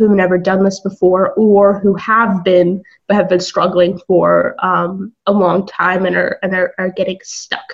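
A woman at a fairly slow pace with hardly any pauses. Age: 20s. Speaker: online entrepreneur. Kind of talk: casual interview.

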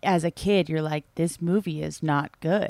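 The recording is dry and close with no echo and a silent background, carrying a plain, everyday voice at a fairly slow pace with ordinary pitch variation. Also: woman. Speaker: podcast host. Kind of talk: casual chat.

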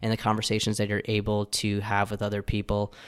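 A man with a fairly low pitch is heard in a very clean recording against a silent background. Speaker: podcast host. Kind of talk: interview conversation. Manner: smooth, good talker.

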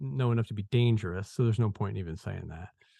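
A man's very fast speech, dark and mellow in tone with lively intonation, dry and close with no echo over a quiet background. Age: 40s. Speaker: author. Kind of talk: interview.

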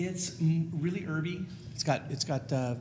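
Audible room echo surrounds a man with an American accent, who speaks in a somewhat breathy voice with ordinary pitch variation. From California, US. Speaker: spice rub maker. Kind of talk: casual interview.

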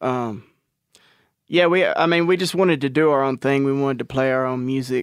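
Fairly high-pitched male voice in a Southern US accent, fairly quick, with ordinary pitch variation over a quiet background. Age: 30s. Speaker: country rock musician. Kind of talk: casual chat.

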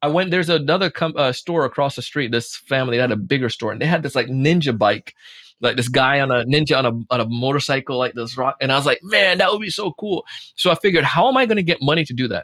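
This man talks very fast in a fairly high voice with lively intonation and an animated, bright, sharp tone. The sound is dry and close, with no echo. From Jamaica, Spanish Town. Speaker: sales trainer and podcast host. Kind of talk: casual interview.

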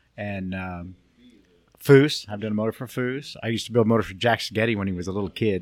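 With an American accent, a man with a fairly low pitch and an ordinary speaking voice talks at a fairly quick pace, using ordinary pitch variation and big swings in loudness, in a very clean recording with a silent background. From Southern California (Long Beach, Cypress). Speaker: Volkswagen engine builder. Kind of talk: casual interview.

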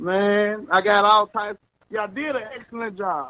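This is a man speaking. He has a Mississippi accent. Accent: Southern US (Mississippi). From Mississippi, US South. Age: 20s. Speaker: mover, self-employed. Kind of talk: casual storytelling. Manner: animated.

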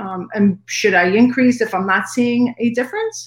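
A woman speaks at a moderate pace in a normal speaking voice. Her pitch is fairly high, with ordinary variation. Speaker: caller. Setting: video call.

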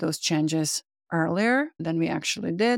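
Speaking at a fairly quick pace with a Czech accent, a woman uses a fairly low pitch and ordinary pitch variation, in a very clean recording with a silent background and a dry, close sound with no echo. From Czech Republic. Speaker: psychotherapist and business owner. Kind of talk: monologue.

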